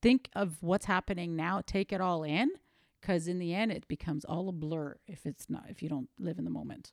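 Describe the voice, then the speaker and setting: This is an ordinary speaking voice with ordinary pitch variation. The recording is very clean over a silent background, with a dry, close sound and no echo. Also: woman, fairly low pitch for a woman, moderate pace. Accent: Canadian. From Canada (Toronto, Greek family). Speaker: mother of a host. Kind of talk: casual chat.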